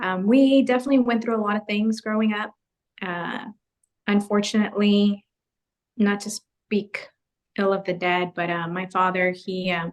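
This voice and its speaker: A woman with a Spanish accent speaks at medium pitch with fairly even intonation and long, frequent pauses. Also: moderate pace. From US, raised there from age three (born in Guatemala). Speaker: photographer. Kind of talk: interview testimony.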